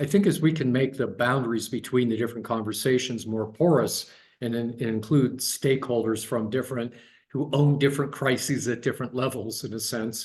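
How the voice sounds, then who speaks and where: Fairly quick in pace, a man talks in an American accent. He is somewhat breathy, with fairly even intonation. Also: medium pitch for a man. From US Midwest, Dayton Ohio. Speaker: guest speaker, design researcher. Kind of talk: online talk, discussion of own work. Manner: halting, many repeated words and fillers.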